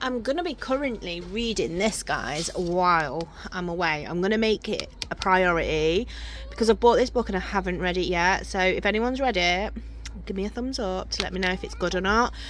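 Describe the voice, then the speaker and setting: A woman with an English accent over noticeable background noise. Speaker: vlogger. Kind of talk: casual vlog. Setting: outdoors.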